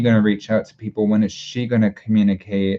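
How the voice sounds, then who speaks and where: A man talks at a fairly low pitch. His intonation is monotone and flat. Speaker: tarot reader. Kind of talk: live tarot reading. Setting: livestream. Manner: halting, many filler words; slow when thinking.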